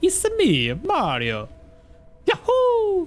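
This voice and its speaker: The voice is a put-on character, reaching extremely high in pitch. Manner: cheerful.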